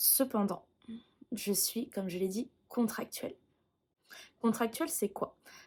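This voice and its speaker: A woman talks at a moderate pace in a fairly high pitch. Her voice is somewhat breathy, with ordinary pitch variation. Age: 20s. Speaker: music teacher. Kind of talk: personal vlog explanation.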